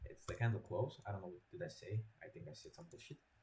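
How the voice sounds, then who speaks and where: Speaking with a non-native accent, a man delivers his words at a fairly quick pace in a medium pitch, his voice somewhat breathy with a dark, mellow tone. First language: not English. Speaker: trading educator. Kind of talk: tutorial. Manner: halting, repetitive. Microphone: poor quality mic.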